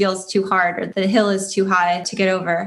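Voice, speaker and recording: A woman with an American accent speaks at a moderate pace and medium pitch in an ordinary speaking voice. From US Midwest, Detroit. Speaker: tech company CEO. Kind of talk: interview. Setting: remote call.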